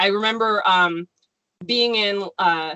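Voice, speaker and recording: Speaking with an American accent, a woman has a medium pitch and a bright, sharp tone. Her intonation is fairly even, and the sound is dry and close with no echo. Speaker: novelist. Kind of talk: casual chat.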